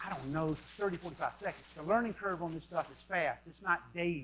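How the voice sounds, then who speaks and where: Here a man talks with a high pitch. His pace is very fast. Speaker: conference speaker on marketing. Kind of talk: conference talk. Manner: animated.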